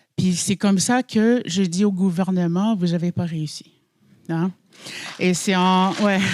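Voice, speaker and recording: A woman talks at a very slow pace in a medium pitch. Her loudness swings a lot. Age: 40s. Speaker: Inuit throat singer. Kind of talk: personal testimony. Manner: halting, with repetitions.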